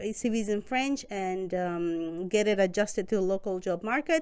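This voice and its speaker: A woman in a Spanish accent at a fairly slow pace, on a very clean recording with a silent background. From Costa Rica. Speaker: newcomer support worker. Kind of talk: interview.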